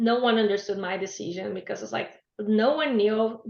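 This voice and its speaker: Speaking with a Brazilian Portuguese accent, a woman uses a fairly high pitch. Her pace is moderate and her intonation fairly even. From Brazil, Blumenau (Santa Catarina). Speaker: business graduate sharing language-learning story. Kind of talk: webinar talk. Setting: online webinar.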